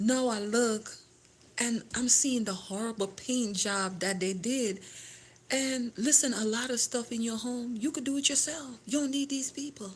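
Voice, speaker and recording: A Caribbean accent, a fairly slow pace and ordinary pitch variation. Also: woman, fairly high pitch for a woman. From Grenada. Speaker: home decor and lifestyle vlogger. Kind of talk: casual livestream chat. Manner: halting, with self-corrections.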